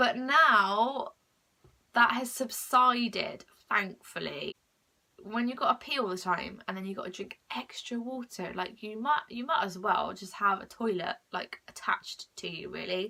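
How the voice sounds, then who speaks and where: Fairly slow speech with a British accent, ordinary pitch variation and big swings in loudness. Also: woman. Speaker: mental health vlogger. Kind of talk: casual vlog monologue. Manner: halting.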